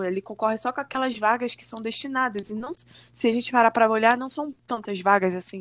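A plain, everyday voice speaks at a moderate pace with ordinary pitch variation. The background is quiet. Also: woman. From Brazil, Rio de Janeiro state (Macaé). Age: 30s. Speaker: schoolteacher. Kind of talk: casual interview.

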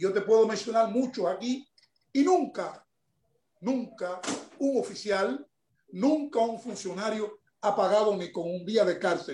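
With a dark, mellow tone and high pitch, a man talks at a fairly slow pace with ordinary pitch variation and long, frequent pauses. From Cuba. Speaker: former political prisoner and human rights activist. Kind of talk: interview.

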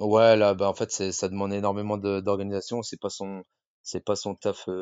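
A man's very deep, low voice. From France, Rennes (Brittany). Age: 30s. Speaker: firefighter and CrossFit athlete. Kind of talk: casual interview chat. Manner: hesitant, many fillers.

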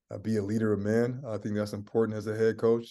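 The man has an American accent and a dark, mellow tone. He talks at a fairly quick pace. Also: quiet background. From US Pacific Northwest, Seattle. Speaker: basketball head coach. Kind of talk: interview.

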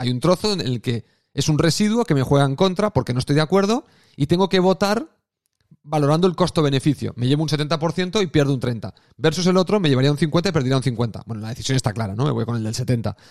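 Very fast, lively speech from a man with a fairly high pitch, in a dry, close sound with no echo. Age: 40s. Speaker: podcast host. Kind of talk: solo monologue podcast. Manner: casual, conversational with fillers.

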